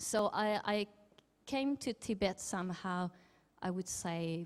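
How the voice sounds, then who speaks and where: With a French accent, a woman speaks at a medium pitch in a very clean recording with a silent background. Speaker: academic researcher in Chinese film studies. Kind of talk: conference talk. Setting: symposium with audience and interpreters. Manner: halting with many fillers.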